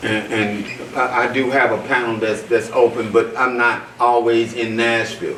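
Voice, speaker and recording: The speech moves at a moderate pace. Room echo is audible, and there is noticeable background noise. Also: man. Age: 60s. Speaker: physician. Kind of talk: panel discussion. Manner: halting, repeats words.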